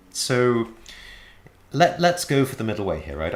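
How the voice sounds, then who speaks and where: The voice belongs to a man. He speaks with an English accent. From England. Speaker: Buddhist teacher. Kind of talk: lecture. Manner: frequent hesitations and repetitions.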